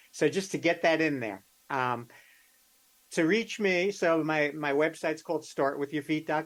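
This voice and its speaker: A man speaks in a plain, everyday voice, his pitch fairly high with ordinary variation. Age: 60s. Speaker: podiatrist. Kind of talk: interview.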